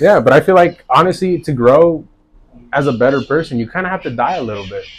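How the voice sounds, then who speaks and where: Talking at a very fast pace with an American accent, a man uses a fairly high pitch. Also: lively intonation. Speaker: DJ. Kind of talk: casual interview chat.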